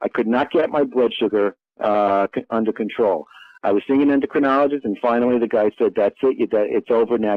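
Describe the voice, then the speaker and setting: A man speaks in a normal speaking voice at a medium pitch. He keeps a fairly quick pace with ordinary pitch variation. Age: 60s. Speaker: physician and diet book author. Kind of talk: interview. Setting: studio.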